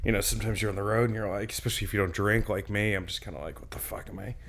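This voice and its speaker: A man with an American accent speaks at a medium pitch. His intonation stays fairly even. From New Jersey and Westchester, New York. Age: 30s. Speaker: stand-up comedian and TV writer. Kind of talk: casual interview. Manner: casual, filler-heavy, self-interrupting.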